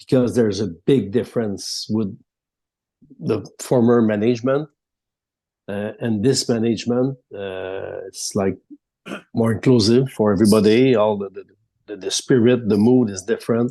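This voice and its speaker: Speaking in a French Canadian accent, a man with a medium pitch and a dark, mellow tone keeps a moderate pace and fairly even intonation, with big swings in loudness and long, frequent pauses. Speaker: hockey reporter. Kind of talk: casual chat. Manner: halting.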